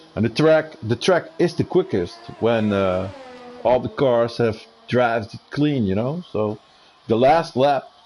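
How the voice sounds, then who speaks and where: A man with a Dutch accent talks at a fairly slow pace in a medium pitch. His intonation is lively, and there is noticeable background noise. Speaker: sim racing co-commentator. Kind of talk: live commentary. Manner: halting.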